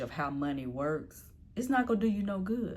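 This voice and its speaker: At a moderate pace, a woman speaks with very wide pitch swings, and some room echo can be heard. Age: 50s. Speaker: personal finance vlogger. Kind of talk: casual vlog talk. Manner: conversational.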